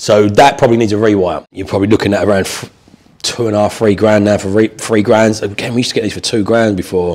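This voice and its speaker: A man speaks at a very fast pace. His pitch is fairly low and his intonation fairly even. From southern England. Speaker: property investor and trainer. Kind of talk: tutorial / training session with live call. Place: meeting room.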